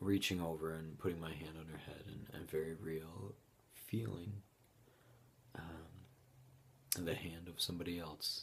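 A man with an American accent speaks at a very deep, low pitch and a fairly slow pace, with fairly even intonation. Long, frequent pauses break his speech, and room echo is audible. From Utah. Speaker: bereaved father. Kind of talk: testimony. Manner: halting.

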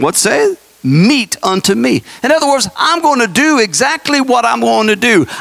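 An extremely high-pitched man speaks at a moderate pace. His pitch swings very widely. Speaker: pastor. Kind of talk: sermon. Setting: church. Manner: fervent, emphatic prophetic preaching; urgent, warning tone. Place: church. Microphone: handheld.

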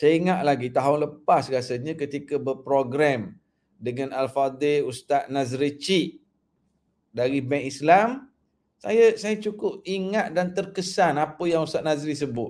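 Fairly high in pitch, a man speaks at a fairly slow pace with lively intonation. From Malaysia. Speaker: Islamic preacher; religious teacher, guest. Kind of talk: religious talk on livestream. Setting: live online broadcast. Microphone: webcam.

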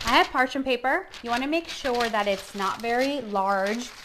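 A woman at a fairly slow pace, over loud background noise. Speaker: chef host. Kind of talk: cooking tutorial. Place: kitchen. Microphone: camera far.

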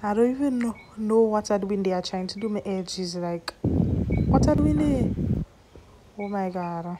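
Noticeable background noise sits behind a woman speaking at a medium pitch. Her intonation is fairly even and her pace fairly slow. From Grenada. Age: young. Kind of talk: hair tutorial voice-over. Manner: playful, humorous.

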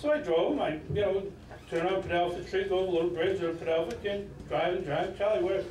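A man talking at a very fast pace with lively intonation, audible room echo and light background noise. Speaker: retired high school coach; speaker. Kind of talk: acceptance speech. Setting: stage with audience. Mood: warm, nostalgic. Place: hall. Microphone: podium.

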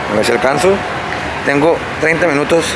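A man speaks over loud background noise. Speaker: vlogger. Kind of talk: casual vlog chat.

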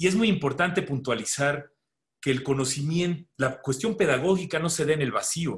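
Over a quiet background, a man with a Mexican accent talks at a moderate pace, somewhat breathy, with lively intonation. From Mexico. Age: 60s. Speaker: pediatrician and medical educator; medical educator. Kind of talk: webinar lecture. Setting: video call. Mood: relaxed, conversational. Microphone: video call.

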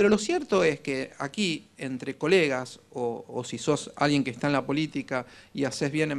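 A man with an Argentine accent speaks at a moderate pace, his fairly high pitch carried by lively intonation. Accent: Argentine Spanish (voseo). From Argentina. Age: 40s. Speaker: political communication consultant; conference speaker. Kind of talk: conference talk. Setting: stage with audience. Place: hall.

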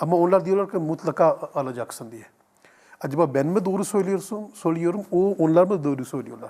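Intonation here is lively, over a dark, mellow tone. Delivery comes at a moderate pace. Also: man. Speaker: imam, Islamic teacher answering viewer questions. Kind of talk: religious Q&A answer. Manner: halting, filler-heavy, repeating words.

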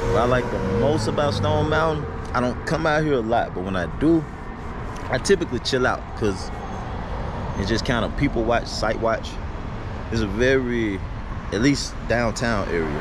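A man talks at a moderate pace with long, frequent pauses, in a dry sound with no echo and noticeable background noise. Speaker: vlogger. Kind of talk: casual vlog chat. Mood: relaxed, calm. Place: street. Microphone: phone near.

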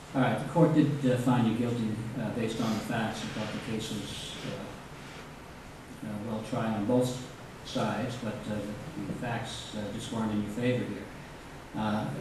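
Strong room echo and noticeable background noise fill the recording. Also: fairly slow pace. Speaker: judge. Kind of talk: court proceeding. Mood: calm, measured, authoritative. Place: hall. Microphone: camera far.

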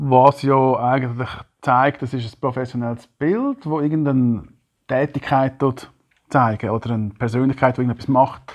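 At a moderate pace, a man with a Swiss accent speaks with fairly even intonation against a quiet background. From German-speaking Switzerland. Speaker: podcast host. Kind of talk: casual chat. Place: home room. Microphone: lapel.

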